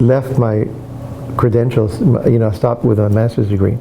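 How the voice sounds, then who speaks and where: Speaking at a moderate pace, a man with a medium-pitched voice keeps his intonation fairly even over noticeable background noise. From Texas border, Laredo. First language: Spanish. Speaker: retired bilingual educator. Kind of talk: oral history interview. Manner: halting.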